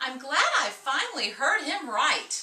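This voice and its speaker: A put-on character voice at a fairly slow pace. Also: woman. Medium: read story.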